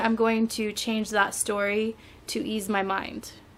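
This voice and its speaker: In a normal speaking voice, a woman with a fairly high pitch talks at a fairly slow pace. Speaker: podcast co-host. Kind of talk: casual chat. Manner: laughing, relaxed.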